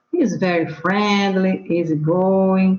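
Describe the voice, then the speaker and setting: Here a woman speaks at a medium pitch. Audible room echo surrounds her voice. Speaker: English student. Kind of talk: reading aloud. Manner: halting.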